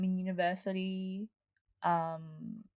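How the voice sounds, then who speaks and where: With music in the background, a woman speaks very slowly at a medium pitch. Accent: Australian. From Australia, Melbourne. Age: 20s. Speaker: online community co-founder. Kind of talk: interview. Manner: hesitant, many fillers.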